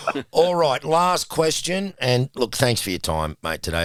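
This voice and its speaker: A man talks with an Australian accent. His pitch swings very widely. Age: 60s. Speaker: podcast host. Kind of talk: casual interview.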